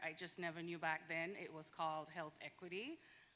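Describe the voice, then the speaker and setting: A woman's bright, sharp voice, fairly low in pitch, with monotone, flat intonation and a Caribbean accent. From Saint Vincent and the Grenadines. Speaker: physician and public health resident. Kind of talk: panel discussion.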